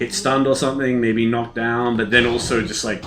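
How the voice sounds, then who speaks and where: A man talks with an Australian accent at a fairly quick pace. His pitch sits fairly low. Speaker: gaming streamer. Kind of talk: casual gameplay commentary.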